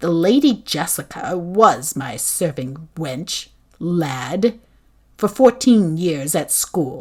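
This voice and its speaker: Using a put-on character voice, a woman speaks very slowly at a fairly low pitch with very wide pitch swings. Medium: read story. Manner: commanding, imperious.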